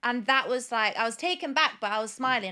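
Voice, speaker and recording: In a Leicester accent, the speaker talks at a fairly quick pace with lively intonation and a bright, sharp tone. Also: woman. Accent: Leicester accent, noticeable again. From Leicester, English Midlands. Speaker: singer-songwriter. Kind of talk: casual chat.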